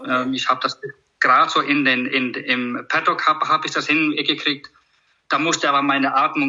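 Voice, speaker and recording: At a moderate pace, a man talks with an Icelandic accent. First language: Icelandic (speaking German). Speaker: horse trainer. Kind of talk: casual conversation interview. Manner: halting, many repetitions.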